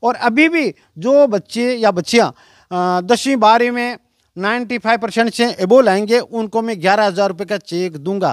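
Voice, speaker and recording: The recording is very clean, the background silent. A man speaks at a high pitch. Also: ordinary pitch variation, dry, close sound with no echo. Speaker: retired school lecturer. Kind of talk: interview. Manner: halting.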